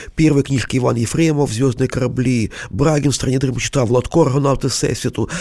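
A man's dark, mellow voice at medium pitch, fairly quick with hardly any pauses, very even loudness and fairly even intonation. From Kyiv, Ukraine. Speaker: collector. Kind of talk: interview.

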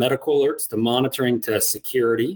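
A man talks at medium pitch and a fairly quick pace. It is a plain, everyday voice. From US Midwest, Iowa. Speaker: security company executive. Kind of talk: interview. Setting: video call.

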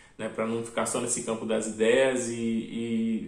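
With noticeable background noise and audible room echo, a man speaks in monotone, flat intonation. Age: 30s. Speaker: game developer. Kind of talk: interview. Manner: frequent fillers.

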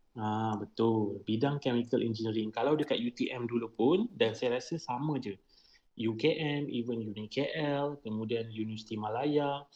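With an ordinary speaking voice, a man talks at a medium pitch and ordinary pitch variation. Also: fairly slow pace. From Malaysia, Melaka. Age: 30s. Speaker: chemical engineer. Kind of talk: podcast interview.

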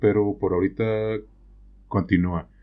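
A man speaks with a very deep, low voice and some vocal fry. His intonation is lively against a quiet background. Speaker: podcast co-host. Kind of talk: casual discussion.

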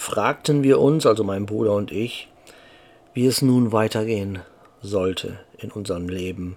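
A man with a fairly low pitch and ordinary pitch variation, at a fairly slow pace with long, frequent pauses. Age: 50s. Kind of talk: casual monologue.

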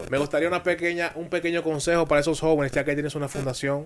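A man talks at a very fast clip with fairly even intonation over noticeable background noise. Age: young. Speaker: radio sports host. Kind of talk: radio interview. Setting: radio studio.

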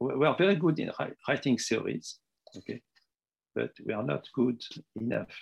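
A man talks at a moderate pace with a French accent. The sound is dry and close, with no echo. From Tunisia and Morocco. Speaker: retired mathematics professor. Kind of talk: interview. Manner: halting.

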